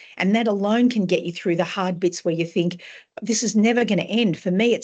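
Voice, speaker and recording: This woman speaks in an Australian accent. Her intonation stays fairly even. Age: 60s. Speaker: author. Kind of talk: interview.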